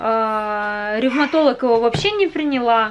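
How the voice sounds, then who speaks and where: High pitch from a woman, with ordinary variation in pitch. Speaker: vlogger. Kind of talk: casual vlog chat, personal story. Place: home room. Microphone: phone near.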